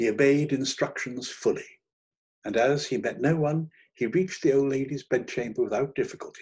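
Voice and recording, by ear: At a moderate pace, a man speaks at a medium pitch with ordinary pitch variation, a slightly mellow tone and a slightly husky edge.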